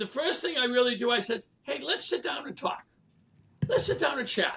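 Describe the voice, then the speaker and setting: A man speaks in a raised, projected voice with a Boston accent, his tone bright and sharp and his pitch extremely high. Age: 70s. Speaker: real estate leader and coach. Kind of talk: casual interview.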